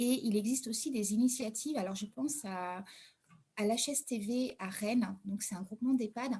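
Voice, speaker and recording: The woman has a fairly high pitch and a dark, mellow tone. Her voice is somewhat breathy. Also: ordinary pitch variation, moderate pace. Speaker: caregiver. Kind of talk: online panel debate. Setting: video call. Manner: hesitant.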